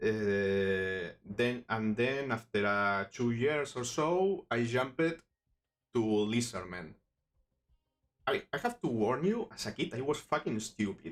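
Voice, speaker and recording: A man speaks very slowly with a Spanish accent. His intonation is lively. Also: medium pitch for a man. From Spain, Barcelona. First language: Spanish or Catalan. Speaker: miniature sculpting streamer. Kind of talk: live stream tutorial. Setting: live stream. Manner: halting, many false starts.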